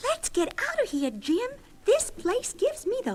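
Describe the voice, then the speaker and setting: In a put-on character voice, a woman speaks at a moderate pace, squeaky and extremely high-pitched with very wide pitch swings. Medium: audio drama. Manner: sharp, skeptical.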